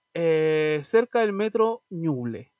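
A man speaks in a Chilean accent with a high pitch. The sound is dry and close, with no echo. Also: quiet background. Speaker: podcast co-host. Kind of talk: casual chat.

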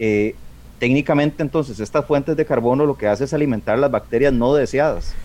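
With an unremarkable speaking voice, a man talks at a fairly quick pace and fairly high pitch, his loudness very even and his pitch variation ordinary. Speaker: aquarium hobbyist, association member. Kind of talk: radio talk show discussion.

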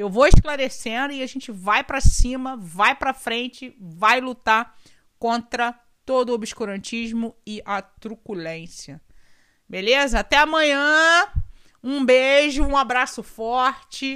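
A high-pitched woman's bright, sharp voice at a very slow pace, ordinary pitch variation and big loudness swings, on a very clean recording with a silent background. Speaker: podcast host, constitutional law commentator. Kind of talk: solo podcast explainer. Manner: casual, conversational; halting, with repetitions.

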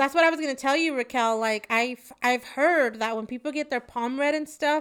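A woman with a Spanish accent speaks at a moderate pace in a high voice, recorded very cleanly against a silent background. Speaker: podcast co-host. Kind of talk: casual chat.

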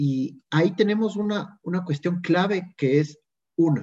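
Dark, mellow, somewhat breathy male speech. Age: 20s. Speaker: lay evangelizer. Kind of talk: casual chat.

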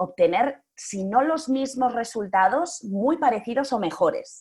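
A woman is speaking. Her intonation is lively. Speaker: public speaking coach and actress. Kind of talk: interview. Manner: varied, expressive intonation.

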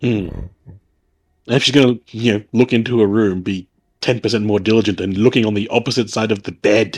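A man speaks in an unremarkable speaking voice at a fairly low pitch. His pace is moderate and his intonation fairly even. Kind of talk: casual chat. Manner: joking, sarcastic.

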